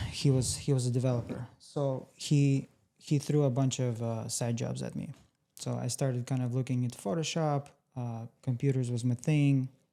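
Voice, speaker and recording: In a Russian accent, the speaker talks at a moderate pace with a dark, mellow tone and fairly even intonation. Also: man, medium pitch for a man. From Russia, moved to US at fourteen. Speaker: tech entrepreneur. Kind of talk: interview.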